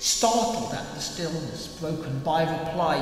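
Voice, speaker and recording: Noticeable background noise sits behind a man who speaks fairly slowly, his pitch moving in an ordinary way. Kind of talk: poetry reading.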